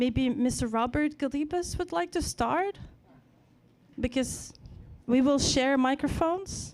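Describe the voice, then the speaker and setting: A woman's high voice with lively intonation at a fairly slow pace, broken by long, frequent pauses. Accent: Ukrainian. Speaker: event host and moderator. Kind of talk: panel moderation.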